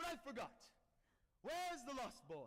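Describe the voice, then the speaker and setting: A man speaks in a put-on character voice at an extremely high pitch, keeping a moderate pace. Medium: stage play. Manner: theatrical, pompous.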